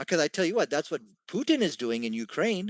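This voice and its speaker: A man speaks at a fairly quick pace with very wide pitch swings. The sound is dry and close with no echo, over a quiet background. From England. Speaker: debater. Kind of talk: heated debate.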